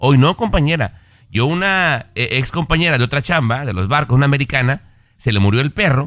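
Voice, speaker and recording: A man speaks in a normal speaking voice, fairly high and fairly quick, with lively intonation. The recording is very clean with a silent background. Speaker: radio co-host. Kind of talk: casual chat.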